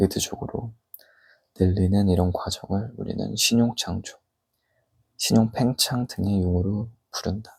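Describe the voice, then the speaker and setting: Fairly low in pitch with a dark, mellow tone, a man speaks at a fairly slow pace with fairly even intonation. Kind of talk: book reading aloud, ASMR. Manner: normal speaking voice, reading aloud, slightly louder.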